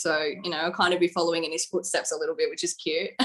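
In a strong Australian accent, a woman speaks at a fairly low pitch with monotone, flat intonation. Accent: broad Australian. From Australia, coastal New South Wales. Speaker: singer-songwriter. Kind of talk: casual interview. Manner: chatty, laughs often.

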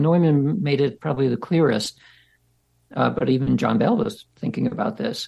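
Vocal fry runs through a man's dark, mellow tone as he speaks at a moderate pace with a fairly high pitch and lively intonation. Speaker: scientist researcher. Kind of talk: interview conversation.

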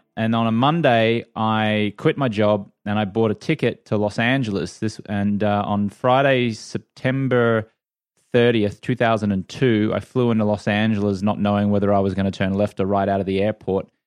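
Fairly low in pitch, a man with an Australian accent speaks at a moderate pace with very even loudness and fairly even intonation against a quiet background. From Australia, Brisbane. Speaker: former sports TV anchor and entrepreneur. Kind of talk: interview.

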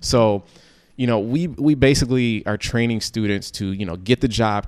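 A man speaks in an unremarkable speaking voice with ordinary pitch variation. The pace is moderate, and the recording is very clean with a silent background. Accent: American. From Chicago South Suburbs. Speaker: entrepreneur and author. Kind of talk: interview.

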